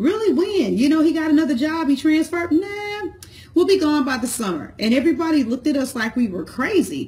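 Lively in intonation, a woman talks at a fairly quick pace in a high pitch. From St. Louis, Missouri; Missouri. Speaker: entrepreneur, business vlogger, cosmetologist; business vlogger. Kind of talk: motivational talk to camera. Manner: casual, conversational. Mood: warm, encouraging. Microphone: phone near.

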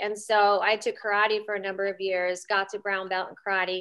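A woman's moderate-paced speech with an American accent, against a quiet background. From Pennsylvania, Reading area; Pennsylvania. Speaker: Brazilian jiu-jitsu competitor; interview guest. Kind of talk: interview. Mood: relaxed, friendly. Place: home room. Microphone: video call.

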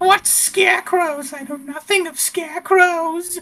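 Someone talks in a put-on character voice at an extremely high pitch and a fairly slow pace. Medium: actual play. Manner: evasive, indignant, then mock-ominous and theatrical.

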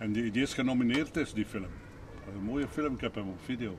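A man in a Flemish accent at a fairly quick pace, with ordinary pitch variation, long, frequent pauses and noticeable background noise. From Flanders, Belgium. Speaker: retired rural policeman. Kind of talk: casual street conversation. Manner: spontaneous, fluent. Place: street. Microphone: camera far.

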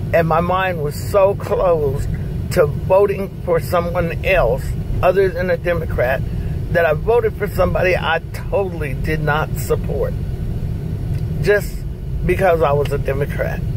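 With noticeable background noise but a dry, echo-free sound, a woman speaks at a fairly slow pace, leaving long, frequent pauses. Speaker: mother-in-law sharing a personal story. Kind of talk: interview answer. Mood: earnest, persuasive. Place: car. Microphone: phone near.

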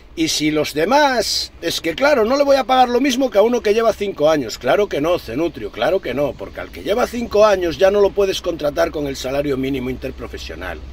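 With a Galician accent, a man speaks in a high, animated voice full of very wide pitch swings, captured as a dry sound with no echo. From Galicia, Spain. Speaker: truck driver vlogger. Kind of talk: rant. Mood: indignant, sarcastic. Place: car. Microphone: phone near.

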